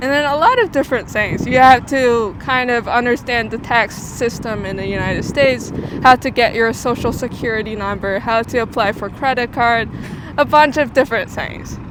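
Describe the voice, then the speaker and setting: Noticeable background noise runs behind a woman speaking at a high pitch. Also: fairly even intonation, moderate pace. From China. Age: 20s. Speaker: international student. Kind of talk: street interview. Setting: outdoors on the street. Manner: hesitant, many fillers.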